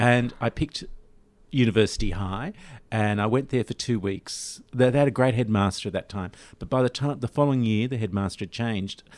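Against a quiet background, a man with an Australian accent talks at a fairly quick pace. His pitch sits in the medium range and varies in an ordinary way. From Australia (Sydney). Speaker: lawyer and arts patron. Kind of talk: interview. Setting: studio.

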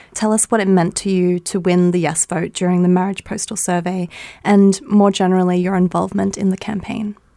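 A woman's flat, monotone delivery at medium pitch, dark and mellow in tone, on a very clean recording with a silent background. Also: fairly quick pace. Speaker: podcast host and interviewer. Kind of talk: interview narration and questions.

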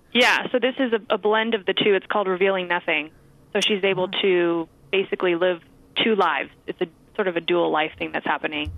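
A woman with an American accent and an ordinary speaking voice, medium in pitch with ordinary pitch variation, at a fairly quick pace. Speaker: actress and stand-up comedian. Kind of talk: interview chat.

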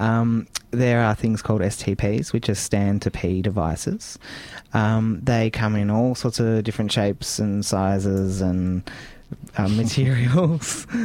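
With a dark, mellow tone and a fairly low pitch, a man talks at a fairly slow pace, with ordinary pitch variation and very even loudness. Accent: Australian. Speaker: radio host. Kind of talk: casual interview chat.

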